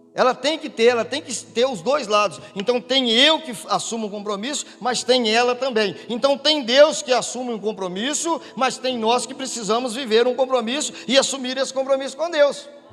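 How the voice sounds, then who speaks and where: With an extremely high pitch, a man talks at a moderate pace with hardly any pauses and ordinary pitch variation over noticeable background noise. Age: 60s. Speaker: pastor. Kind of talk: sermon. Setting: church.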